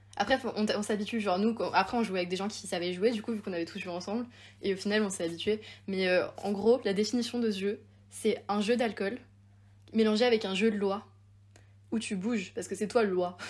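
Talking at a fairly quick pace between long, frequent pauses, a woman uses a somewhat breathy, medium-pitched voice with fairly even intonation. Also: very clean recording, silent background. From Haute-Savoie, France (Évian). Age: 20s. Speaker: university student and podcaster. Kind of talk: casual chat.

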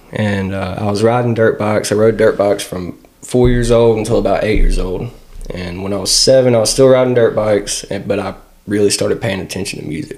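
A man with a fairly low pitch talks fairly quickly and with fairly even intonation as noticeable background noise plays behind him. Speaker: guitarist and singer. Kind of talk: casual chat.

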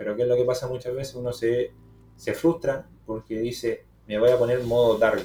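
Somewhat breathy and dark, mellow in tone, a man speaks at a moderate pace with fairly even intonation and big swings in loudness. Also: medium pitch for a man. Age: 20s. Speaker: podcast host on trading and personal growth. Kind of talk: casual chat.

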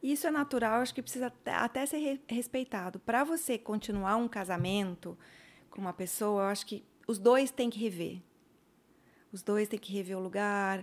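This woman has an unremarkable speaking voice, fairly high-pitched, with lively intonation at a moderate pace. The recording is very clean, with a silent background. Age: 50s. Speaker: psychologist. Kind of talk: casual chat.

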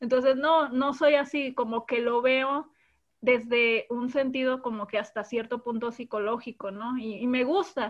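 At a fairly slow pace, a woman talks in a high pitch with fairly even intonation. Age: 30s. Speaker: anime fan guest. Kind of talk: casual chat.

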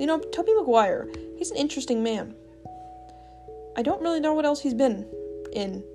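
Very wide pitch swings at a fairly quick pace, with long, frequent pauses and music in the background. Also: woman, high pitch for a woman. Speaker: podcast host. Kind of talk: casual, chatty.

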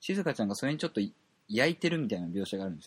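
A man speaks with very wide pitch swings over a quiet background. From Japan, Kobe (Kansai). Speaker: podcast host. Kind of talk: casual monologue. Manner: halting, many fillers.

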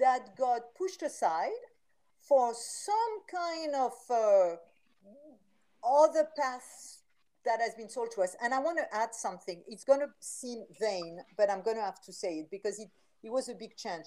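A woman with a French accent talks at a fairly slow pace in a fairly high pitch, her dark, mellow tone carrying lively intonation and big swings in loudness. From France. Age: 60s. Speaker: vitality coach and author. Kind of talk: interview. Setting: video call.

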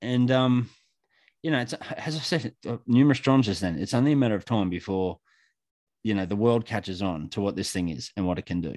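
Over a quiet background, a man with an Australian accent talks at a fairly quick pace in a fairly low voice with lively intonation. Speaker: electrician and bitcoin educator. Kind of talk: casual interview chat.

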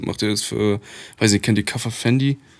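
A man speaks at a medium pitch. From Poland, grew up in Germany. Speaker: rapper. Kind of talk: casual chat.

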